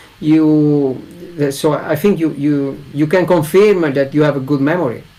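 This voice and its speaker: A man with an Italian accent speaks at a fairly high pitch with ordinary pitch variation. Noticeable background noise runs under him. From Italy. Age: 40s. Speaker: English learner. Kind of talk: casual conversation in an online English lesson.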